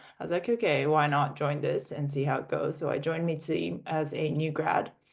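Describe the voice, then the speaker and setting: In an American accent, a woman with a very deep, low pitch talks at a moderate pace with fairly even intonation. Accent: in-between international. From international (UK, Australia, Russia, US). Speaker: startup founder. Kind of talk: interview.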